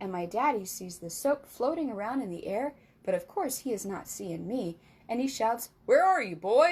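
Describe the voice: Simply plain reading aloud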